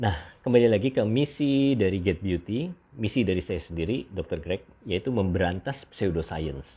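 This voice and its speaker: The voice belongs to a man with a fairly low pitch. He keeps a moderate pace. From Indonesia. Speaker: doctor hosting beauty livestream. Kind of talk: livestream monologue. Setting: live stream. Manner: halting with many fillers. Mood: relaxed, opinionated. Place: home room. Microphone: earbuds.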